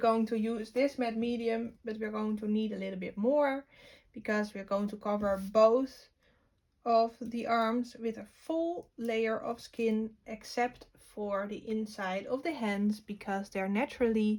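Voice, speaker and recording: A woman with a non-native accent speaks at a fairly slow pace. Her pitch is fairly high, with fairly even intonation. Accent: non-native English speaker. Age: 20s. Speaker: art teacher. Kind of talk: tutorial.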